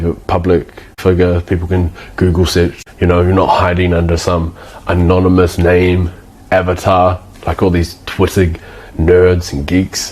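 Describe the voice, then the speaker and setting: In a New Zealand accent, a man speaks with a very deep, low pitch at a fairly slow pace. His intonation is monotone and flat, and music plays in the background. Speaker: agency owner / business coach. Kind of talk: casual talking-head tutorial. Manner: casual, with frequent false starts and fillers.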